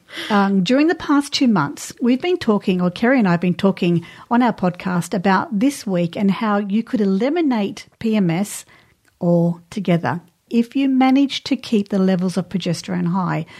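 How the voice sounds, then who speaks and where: Somewhat breathy speech with an Australian accent comes through at very even loudness on a very clean recording with a silent background. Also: woman, medium pitch for a woman, lively intonation, moderate pace. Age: 50s. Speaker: podcast host, women's cycle coach. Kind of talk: casual chat. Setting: studio.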